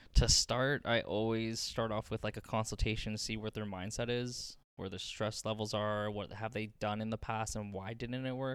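A man talks at a medium pitch with flat, monotone intonation and hardly any pauses. The recording is very clean, with a silent background. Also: moderate pace. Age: 20s. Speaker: massage therapy student. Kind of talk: casual chat.

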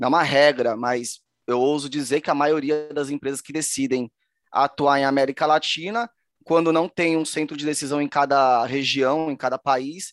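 A man talks in a normal speaking voice at a moderate pace, with ordinary pitch variation. The sound is dry and close with no echo, over a quiet background. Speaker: podcast co-host, B2B marketer. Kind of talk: casual chat. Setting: virtual studio.

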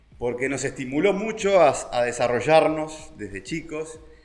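Lively intonation against noticeable background noise. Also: man. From Uruguay, Montevideo. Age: 50s. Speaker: vine grower. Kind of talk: casual interview. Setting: at the guest's home. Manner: halting, with many fillers and repetitions.

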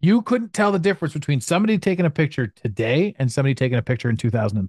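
A man with a Canadian accent speaks very fast in a somewhat breathy voice with lively intonation, recorded with a dry, close sound and no echo. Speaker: podcast host and business mentor. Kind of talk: casual interview chat.

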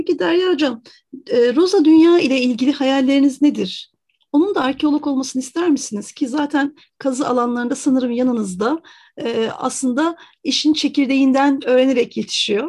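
In a quiet background, a woman with a high voice talks at a moderate pace with ordinary pitch variation. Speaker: radio host. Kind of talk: radio interview.

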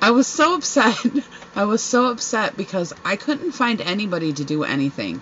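Over noticeable background noise, a woman speaks loudly in an animated tone, her pitch swinging very widely. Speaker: podcast host. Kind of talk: casual chat. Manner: animated, laughing often.

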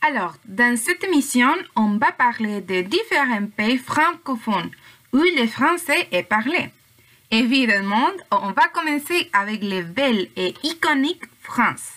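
A woman with a Spanish accent speaks very slowly in a high pitch. Her tone is bright and sharp, with very wide pitch swings. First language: Spanish (speaking French). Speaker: language student, podcast co-host. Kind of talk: student podcast presentation, partly read.

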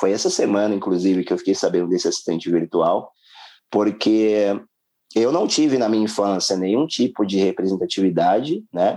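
A dark, mellow tone at a moderate pace, with very even loudness, ordinary pitch variation and a quiet background. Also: man, fairly low pitch for a man. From São Paulo periphery, Brazil. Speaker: investment specialist. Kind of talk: interview. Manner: halting, many fillers.

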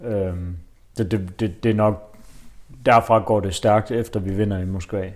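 Very slow and marked by long, frequent pauses, a man's fairly low voice holds a fairly even intonation. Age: 20s. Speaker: football fan, podcast guest. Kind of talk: casual chat. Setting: living room over coffee.

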